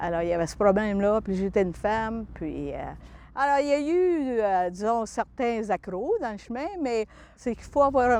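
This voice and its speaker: In a normal speaking voice against a quiet background, a woman talks with a fairly high pitch and lively intonation. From northern Alberta, Canada (Franco-Albertan). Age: 60s. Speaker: retired pilot and aviation inspector. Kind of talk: interview testimony.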